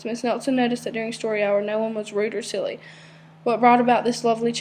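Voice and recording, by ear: In a natural voice, the text is read aloud.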